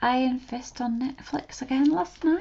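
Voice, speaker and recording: A soft-spoken woman at a fairly slow pace, with lively intonation, against noticeable background noise. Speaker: art tutorial creator. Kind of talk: drawing tutorial commentary.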